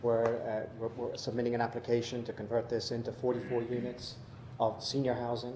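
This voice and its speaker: Noticeable background noise and audible room echo surround a man with an American accent who speaks at a medium pitch and a fairly quick pace. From Georgia, US South. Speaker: housing developer executive. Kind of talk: public hearing testimony. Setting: city council meeting. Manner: halting, many fillers.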